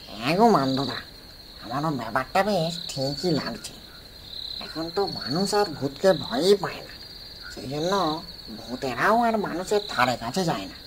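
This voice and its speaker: A cartoonish character voice at middle pitch and moderate pace, with clear background noise. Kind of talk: comic cartoon ghost voice. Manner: eager, flattering.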